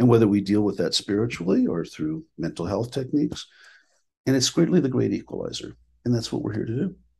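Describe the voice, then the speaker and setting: A man with an American accent speaks at a fairly quick pace with vocal fry, a dark, mellow tone, and lively intonation, against a quiet background. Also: medium pitch for a man. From Minnesota, US Upper Midwest. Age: 60s. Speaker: clinical director and spiritual teacher. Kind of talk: podcast interview.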